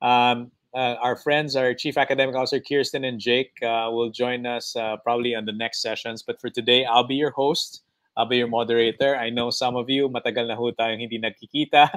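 A man's monotone, flat delivery at a fairly quick pace, over a quiet background. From Philippines. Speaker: webinar host, education company co-founder. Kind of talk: webinar hosting. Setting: video call. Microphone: earbuds.

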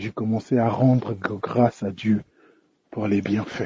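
Male speech, somewhat breathy, its intonation fairly even. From DR Congo. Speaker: listener giving testimony. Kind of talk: recorded testimony. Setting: recorded on the way home.

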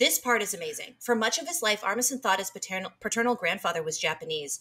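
A woman speaks at a very fast pace with hardly any pauses, her fairly high voice carrying lively intonation. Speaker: podcast co-host. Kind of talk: casual chat. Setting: remote call. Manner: animated. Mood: upbeat, amused. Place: home room.

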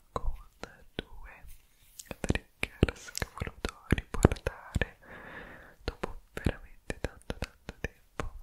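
A man whispers very slowly, pausing long and often. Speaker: ASMR creator. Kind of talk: ASMR whispered relaxation video. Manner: whispered, soft-spoken, calm. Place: home room. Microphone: studio mic.

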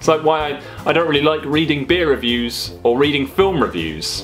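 Faint music sits behind the speech. A man delivers his words at a fairly quick pace. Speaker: beer vlogger. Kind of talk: casual vlog rant. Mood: mildly argumentative rant. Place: home room. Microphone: phone near.

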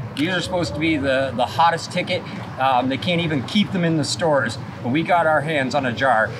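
Noticeable background noise sits behind a man who talks at a fairly quick pace. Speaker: vlogger host. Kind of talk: casual vlog chat. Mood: relaxed, excited. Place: street.

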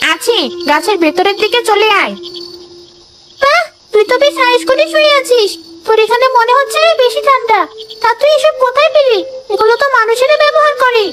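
A cartoonish character voice that sounds female, pitched extremely high for a woman and delivered at a moderate pace. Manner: scornful, mocking.

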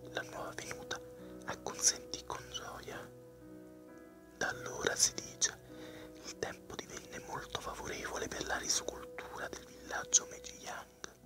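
A man whispers at a fairly slow pace, with long, frequent pauses and big swings in loudness, while music plays in the background. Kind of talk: ASMR fairy tale reading. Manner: whispered, soft-spoken.

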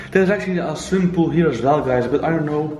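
Over music in the background, a man speaks at a fairly quick pace. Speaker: urban explorer vlogger. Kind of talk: casual vlog chat. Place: home room. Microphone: phone near.

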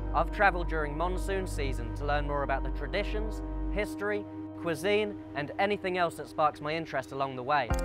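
A man speaks at a fairly quick pace. There is music in the background. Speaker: travel presenter. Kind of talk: documentary narration.

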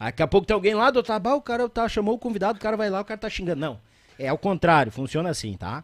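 A man's high-pitched, animated, very fast speech with lively intonation against a quiet background. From Rio Grande do Sul, Brazil. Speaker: podcast host. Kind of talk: casual interview chat. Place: studio. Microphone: studio mic.

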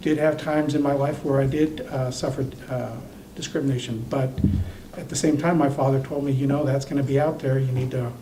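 A man talks at a fairly quick pace in a fairly high, flat, monotone voice. Room echo can be heard, along with noticeable background noise. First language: not English. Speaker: city council member, former police chief. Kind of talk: council meeting debate.

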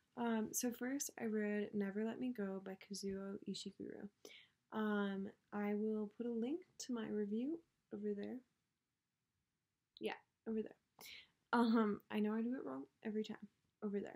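A woman talks at a moderate pace in a fairly high voice with a dark, mellow tone and ordinary pitch variation. Long, frequent pauses break up her speech against a quiet background. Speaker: book vlogger. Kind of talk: casual monologue. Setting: at home, others in the house. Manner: filler-heavy. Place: home room. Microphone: may be too quiet; webcam.

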